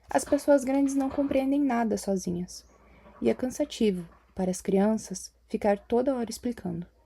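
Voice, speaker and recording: A soft-spoken woman talks at a fairly slow pace, her fairly high pitch showing ordinary variation and a dark, mellow tone. The recording is very clean, with a silent background. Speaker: audiobook reader. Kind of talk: reading aloud.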